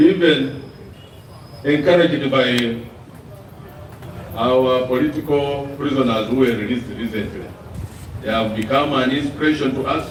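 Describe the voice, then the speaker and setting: With noticeable background noise and audible room echo, a man of medium pitch talks at a moderate pace in fairly even intonation, leaving long, frequent pauses. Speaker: opposition party politician. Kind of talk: press conference statement. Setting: press conference.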